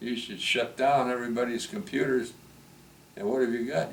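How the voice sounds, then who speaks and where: A medium-pitched man with an American accent at a moderate pace, amid noticeable background noise and audible room echo. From US Midwest, Milwaukee. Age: 90s. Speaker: retired teacher and coach. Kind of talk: family interview. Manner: halting.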